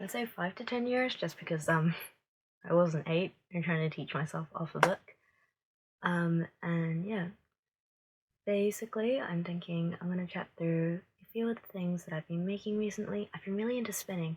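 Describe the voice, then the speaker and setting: Somewhat breathy, a woman speaks at a moderate pace with a fairly low pitch and ordinary pitch variation. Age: 20s. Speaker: knitting podcaster, library worker. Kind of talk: casual chat. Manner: hesitant, many fillers. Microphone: phone recording.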